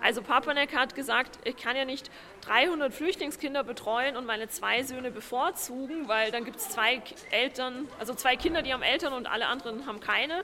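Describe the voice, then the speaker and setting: The voice is raised and projected. Noticeable background noise can be heard. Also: woman, high pitch for a woman, ordinary pitch variation, moderate pace. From Vienna, Austria. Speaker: historian and author. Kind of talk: interview. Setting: on location at a housing estate.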